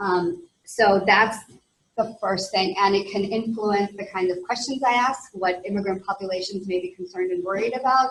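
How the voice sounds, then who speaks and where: A woman with an American accent speaks with fairly even intonation in a somewhat breathy voice. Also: medium pitch for a woman, moderate pace. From US West Coast, Los Angeles. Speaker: research professor. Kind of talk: lecture.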